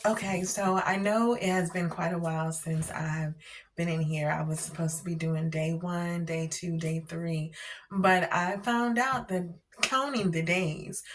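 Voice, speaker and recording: Noticeable background noise sits behind a woman speaking at a fairly slow pace, her pitch fairly low with ordinary variation. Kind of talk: faith testimony vlog. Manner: hesitant, many fillers.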